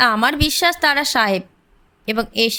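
What you hear is an unforced reading voice.

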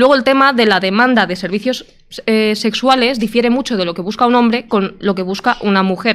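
A woman with an unremarkable speaking voice talks at a fairly quick pace, fairly high in pitch with ordinary pitch variation. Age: 30s. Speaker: train driver and YouTuber. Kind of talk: debate panel discussion.

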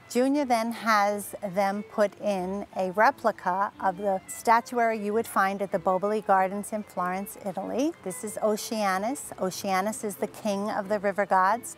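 A woman at a moderate pace with hardly any pauses and fairly even intonation, over faint music in the background, in dry sound with no echo. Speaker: tour guide. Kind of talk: tour guide presentation. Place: garden. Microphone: lapel.

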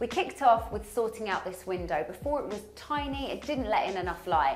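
Faint music plays behind a woman who talks at a moderate pace with very wide swings in pitch. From London. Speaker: TV presenter and interior designer. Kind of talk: presenter showreel, talk to camera. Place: bathroom. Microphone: lapel.

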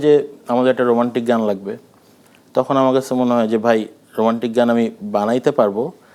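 A man with an ordinary speaking voice holds a medium pitch and very even loudness. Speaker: music director and filmmaker. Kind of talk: interview. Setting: studio.

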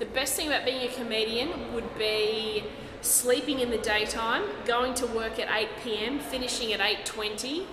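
A woman speaks at a moderate pace in an Australian accent, with noticeable background noise behind her. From Brisbane, Australia. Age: 30s. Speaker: stand-up comedian. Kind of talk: interview answer. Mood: jokey, relaxed. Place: hall.

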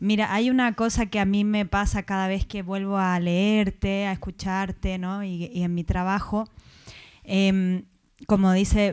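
Against a quiet background, a woman speaks at a fairly slow pace in a monotone, flat intonation. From Chile. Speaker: audience member. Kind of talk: audience question. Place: classroom.

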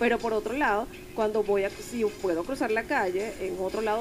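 A woman's fairly high voice, with music in the background. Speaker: member of the board of an Asperger foundation, interviewed on radio. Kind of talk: radio interview answer, personal story. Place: studio. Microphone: studio mic.

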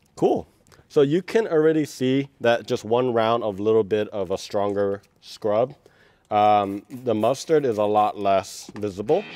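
Music plays in the background as a man speaks with a dry sound with no echo. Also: ordinary pitch variation, fairly slow pace. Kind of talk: tutorial. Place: car. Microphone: lapel.

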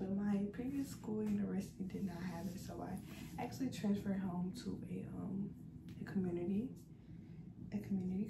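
A woman talks at a moderate pace, leaving long, frequent pauses. Noticeable background noise runs underneath. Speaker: college student vlogger. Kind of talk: casual vlog chat. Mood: relaxed, playful. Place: home room.

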